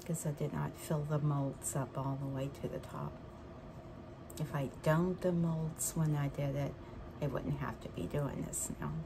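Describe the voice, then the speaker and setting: A quiet woman's voice, very deep and low in pitch, at a moderate pace, with noticeable background noise and audible room echo. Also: ordinary pitch variation. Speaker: resin craft video creator. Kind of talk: casual craft tutorial. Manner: quiet, low voice; casual, with fillers.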